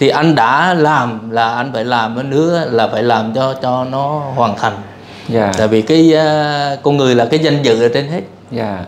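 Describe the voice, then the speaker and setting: Light background noise sits under a man's fairly slow speech, which has ordinary pitch variation. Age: 50s. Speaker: engineer seeking a partner; interviewee. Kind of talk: interview. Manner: halting. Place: home room. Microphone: lapel.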